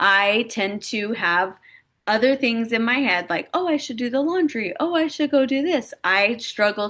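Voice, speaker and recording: A woman with an unremarkable speaking voice against a quiet background. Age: 40s. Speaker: life insurance broker and agency recruiter. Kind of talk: webinar-style presentation. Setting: home office, recorded online session.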